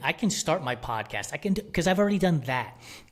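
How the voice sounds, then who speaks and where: A man speaks in a somewhat breathy voice. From New York City (Bronx), Puerto Rican family. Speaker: media company founder. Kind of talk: podcast interview.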